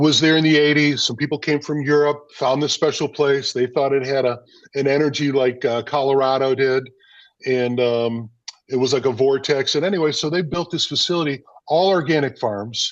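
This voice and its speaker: A man's plain, everyday voice, fairly high in pitch, at a moderate pace with very even loudness and fairly even intonation. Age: 60s. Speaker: food business owner. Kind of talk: interview conversation.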